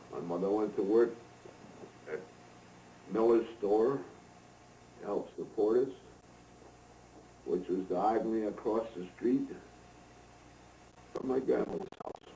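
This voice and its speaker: This man has a dark, mellow tone at a medium pitch, with an upstate New York accent and ordinary pitch variation. He talks at a fairly slow pace with long, frequent pauses. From upstate New York, Greene County. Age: 80s+. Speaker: elder recounting his life. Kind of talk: oral history recollection. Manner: halting.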